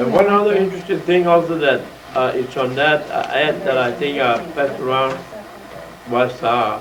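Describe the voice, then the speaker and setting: A man with a fairly high voice talks at a moderate pace with ordinary pitch variation, and there is noticeable background noise and audible room echo. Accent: American. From South Texas, Port Isabel area. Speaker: retired judge. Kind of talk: oral history talk. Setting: museum presentation with audience. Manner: halting, many fillers.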